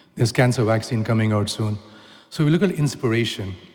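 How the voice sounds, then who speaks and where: With music in the background and audible room echo, a man in an Indian accent speaks at a fairly quick pace with lively intonation. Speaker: technology entrepreneur and speaker. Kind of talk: conference talk. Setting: stage with audience. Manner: animated.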